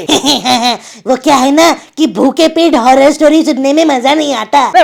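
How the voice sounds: His pace is rather unhurried. The man performs a put-on character voice pitched extremely high.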